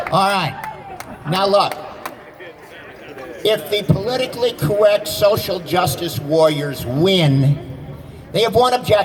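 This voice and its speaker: A man with a high pitch speaks at a fairly slow pace, leaving long, frequent pauses. His intonation is lively over noticeable background noise. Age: 70s. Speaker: taxi driver and rally speaker. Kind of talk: impromptu rally speech. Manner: animated.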